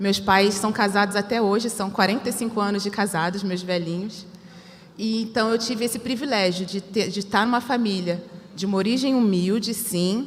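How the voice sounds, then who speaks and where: Noticeable background noise surrounds the recording. A woman speaks in a Rio de Janeiro accent. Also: medium pitch for a woman, fairly even intonation, moderate pace. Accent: carioca. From Rio de Janeiro suburbs, Brazil. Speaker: panel speaker. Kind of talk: personal testimony on a panel.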